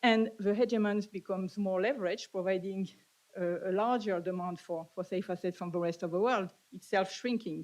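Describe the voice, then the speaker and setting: Talking at a fairly quick pace with a French accent, a woman holds a medium pitch and fairly even intonation. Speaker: economist. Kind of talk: conference presentation. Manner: halting.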